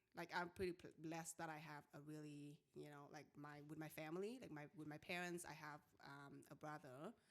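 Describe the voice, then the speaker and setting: A woman's very deep, low voice with a Vietnamese accent and hardly any pauses. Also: fairly even intonation, moderate pace. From Vietnam, small town. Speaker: salon owner. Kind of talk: interview. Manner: halting.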